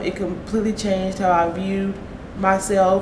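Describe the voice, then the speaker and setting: A woman with an American accent speaks at a medium pitch, with noticeable background noise and audible room echo. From Oklahoma. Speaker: person who stutters, college student. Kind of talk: interview. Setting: conference venue. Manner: stuttering, repeats words.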